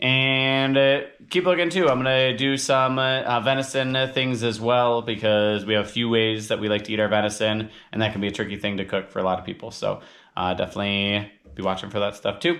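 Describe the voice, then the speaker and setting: A man of medium pitch talks at a fairly quick pace with ordinary pitch variation. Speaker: outdoor cooking channel host. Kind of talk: cooking tutorial. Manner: fast; casual, hesitant with fillers.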